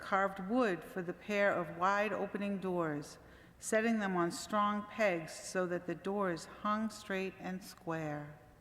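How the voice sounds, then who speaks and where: With audible room echo, the speech moves very slowly with fairly even intonation. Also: woman, medium pitch for a woman. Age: 60s. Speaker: church membership volunteer reading a story. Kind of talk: reading aloud. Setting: church service.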